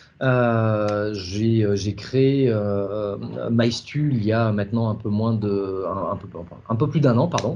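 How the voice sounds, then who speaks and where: A man talks at a very slow pace in a fairly low pitch. Audible room echo surrounds his voice. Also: ordinary pitch variation, hardly any pauses. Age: 40s. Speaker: startup founder. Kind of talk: interview. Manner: halting, many fillers.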